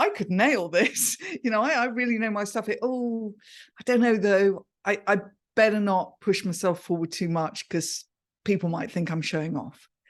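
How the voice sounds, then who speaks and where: With an English accent, a woman talks at a fairly slow pace against a quiet background. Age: 60s. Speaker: communication coach. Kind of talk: podcast interview. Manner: animated.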